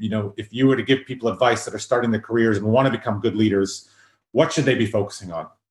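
A man with a Canadian accent talks at a very fast pace, his medium-pitched voice somewhat breathy. His pitch varies in an ordinary way against a quiet background. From South Africa, Durban; raised in Canada. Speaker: podcast host. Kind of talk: casual interview.

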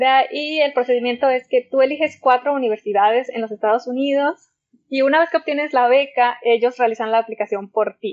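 A woman's high-pitched voice moves at a fairly quick pace with ordinary pitch variation. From Mexico, Zacatecas. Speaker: oceanographer. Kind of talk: interview.

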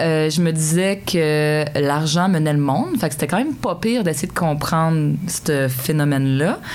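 Very deep, low female voice, ordinary pitch variation. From Quebec, Sherbrooke (Estrie). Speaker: mayor. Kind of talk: interview. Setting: studio.

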